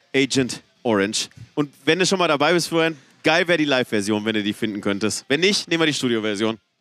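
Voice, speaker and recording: Lively intonation marks an ordinary speaking voice delivered at a fairly quick pace, the sound dry and close with no echo. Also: man. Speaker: podcast co-host. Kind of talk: casual chat. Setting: back room of a rock club before a concert.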